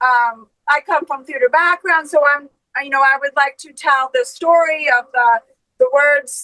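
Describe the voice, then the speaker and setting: A woman speaks in a high pitch with a bright, sharp tone, raising and projecting her voice at a moderate pace. Her pitch varies in an ordinary way, and the sound is dry and close with no echo. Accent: American. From Maine, US. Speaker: metal band vocalist. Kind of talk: casual interview chat.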